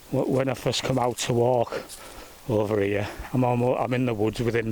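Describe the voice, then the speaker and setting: Over noticeable background noise, a man talks at a fairly quick pace with a medium pitch and monotone, flat intonation. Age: 60s. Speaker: nature vlogger. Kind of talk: casual monologue. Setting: outdoors. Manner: halting.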